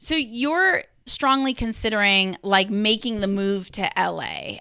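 A woman talks at a fairly slow pace in a medium pitch, her tone bright and sharp yet also clear and smooth. Vocal fry runs through her speech.

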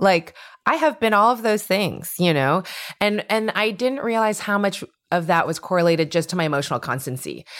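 Loud and animated, a woman talks at a fairly quick pace with a medium pitch. Her pitch swings very widely. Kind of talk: casual chat. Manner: loud, animated.

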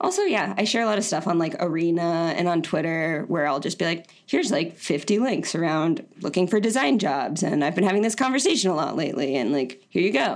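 A woman's unremarkable speaking voice, fairly low in pitch, with an American accent, a fairly quick pace, very even loudness and hardly any pauses, in a very clean recording with a silent background. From Florida. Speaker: designer and online community founder. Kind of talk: casual interview.

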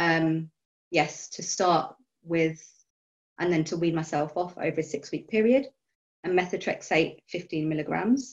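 This woman has an unremarkable speaking voice, fairly low in pitch. She talks at a moderate pace. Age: 30s. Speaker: biologist and arthritis patient. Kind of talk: casual group chat.

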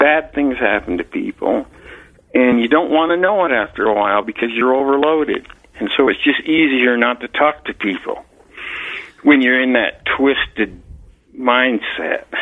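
A man with a plain, everyday voice and an American accent speaks at a moderate pace in a medium pitch with ordinary pitch variation. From Utah, Salt Lake City. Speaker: retired police officer. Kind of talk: interview, personal story.

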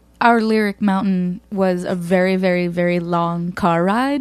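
Someone with an American accent speaks at a fairly slow pace. There is noticeable background noise. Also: woman. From northern New Jersey. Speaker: musician. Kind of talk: casual chat. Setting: studio.

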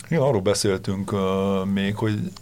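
At a fairly quick pace, a man talks in a normal speaking voice, pitched fairly low. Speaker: football pundit. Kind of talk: casual football discussion. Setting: studio.

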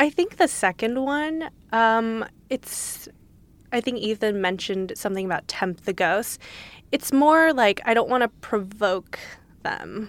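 A woman with a Californian accent speaks at a fairly slow pace with lively intonation in a very clean recording with a silent background. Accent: Californian American. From Los Angeles. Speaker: litigant, defendant. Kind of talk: casual chat.

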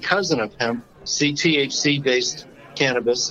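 This man has an unremarkable speaking voice, with a fairly high pitch and ordinary pitch variation. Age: 60s. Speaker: podcast host and accountant. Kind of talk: casual chat. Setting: phone call.

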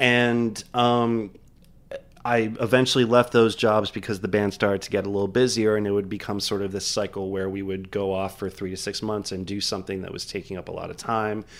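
A man talks at a fairly quick pace in a fairly low pitch. His intonation is monotone and flat. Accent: American. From Miami, Florida. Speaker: bar and restaurant owner. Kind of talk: casual interview. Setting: studio.

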